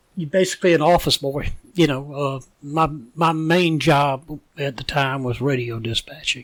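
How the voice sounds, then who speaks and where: A man with a Southern US accent, fairly high pitch, fairly even intonation and a moderate pace. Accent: Southern US (Georgia). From US South, Savannah, Georgia. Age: 70s. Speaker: retired police officer. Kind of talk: interview.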